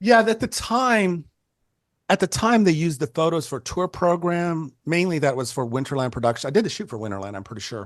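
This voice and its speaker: Against a quiet background, a man with a Californian accent talks at a fairly quick pace, with very wide pitch swings and big swings in loudness. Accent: Californian American. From Northern California, Bay Area. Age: 60s. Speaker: photographer. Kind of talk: casual chat.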